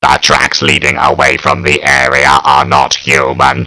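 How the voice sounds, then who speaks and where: A man puts on a character voice with a very deep, low pitch. He speaks at a moderate pace. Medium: read story. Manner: measured, flat, clipped reports.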